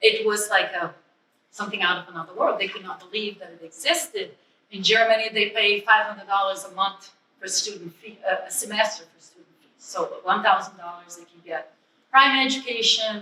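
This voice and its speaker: A woman with a non-native accent talks at a fairly quick pace, her pitch fairly high with ordinary variation. Her loudness swings widely. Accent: foreign. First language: not English. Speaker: ESL educator. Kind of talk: public speech. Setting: museum event.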